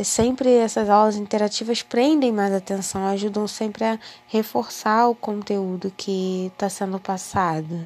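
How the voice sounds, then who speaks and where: At a fairly slow pace with hardly any pauses, a woman speaks in an ordinary speaking voice, medium in pitch with ordinary pitch variation. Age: 20s. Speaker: university student. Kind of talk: personal monologue.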